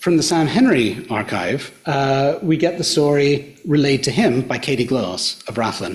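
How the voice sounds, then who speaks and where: Someone with an Australian accent speaks at a fairly slow pace with lively intonation and hardly any pauses. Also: man, fairly high pitch for a man. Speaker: archaeologist and social historian. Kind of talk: public lecture. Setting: hotel function room with audience.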